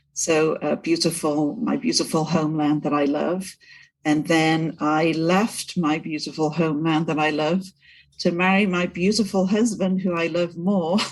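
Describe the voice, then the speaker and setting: Speaking with a Welsh accent, a woman uses a fairly low voice at a moderate pace. The recording is very clean, with a silent background. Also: ordinary pitch variation, very even loudness. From Wales, Cardiff. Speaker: breast cancer survivor, prosthetist, sales director. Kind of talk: podcast interview.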